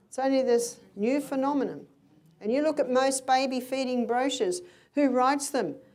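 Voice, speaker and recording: With audible room echo, a woman talks at a moderate pace in a high pitch and an animated tone. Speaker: health educator. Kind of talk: health lecture.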